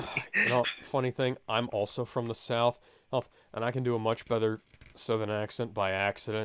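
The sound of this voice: An unforced reading voice carries fairly even intonation from start to finish.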